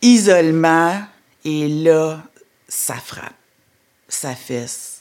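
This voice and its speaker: Speaking at a very slow pace with long, frequent pauses, a woman with a Quebec accent has a fairly low pitch and ordinary pitch variation. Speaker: entrepreneur. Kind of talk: testimony.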